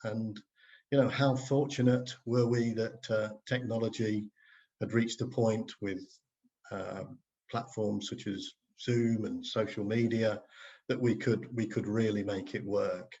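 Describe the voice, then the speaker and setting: A man at medium pitch, monotone and flat, at a fairly slow pace with long, frequent pauses. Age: 60s. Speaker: co-author of a book, marketing consultant. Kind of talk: casual conversation introducing a book. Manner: hesitant, many fillers.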